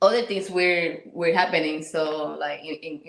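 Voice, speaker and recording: Audible room echo surrounds a woman's voice. She speaks at a moderate pace with fairly even intonation. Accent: Puerto Rican. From Puerto Rico. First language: Spanish. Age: 30s. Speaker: interview guest, military spouse and mother. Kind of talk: casual interview. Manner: halting, many repetitions.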